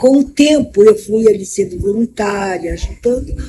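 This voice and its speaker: This woman's voice shows ordinary pitch variation. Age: 70s. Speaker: interviewee, vice-president of an LGBT elders association. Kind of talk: interview testimony. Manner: halting.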